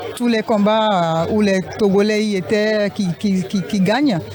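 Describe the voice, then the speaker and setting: Over crowd noise in the background, a woman speaks at a medium pitch. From Togo. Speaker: former athlete. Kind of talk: interview.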